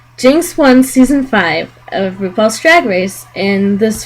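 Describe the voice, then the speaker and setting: Noticeable background noise surrounds this recording. In it, a woman talks with lively intonation. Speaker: video reviewer. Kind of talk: casual talk to camera.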